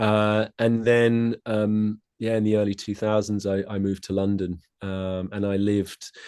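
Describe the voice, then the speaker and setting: With a southern English accent and a dark, mellow tone, a man speaks at a fairly slow pace in a flat monotone with hardly any pauses, the sound dry and close with no echo over a quiet background. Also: fairly low pitch for a man. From southeast England (Kent), summers in west of Ireland. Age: 40s. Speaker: tai chi and qigong teacher. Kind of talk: podcast interview.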